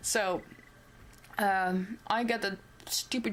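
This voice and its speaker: The speaker is a woman with a non-native accent. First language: not English. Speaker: cosplay vlogger. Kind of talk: casual vlog. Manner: rambling with fillers and self-corrections.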